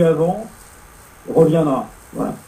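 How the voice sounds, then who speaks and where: Noticeable background noise behind a man's fairly high-pitched voice. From Paris. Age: 40s. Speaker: radio host. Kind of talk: casual chat.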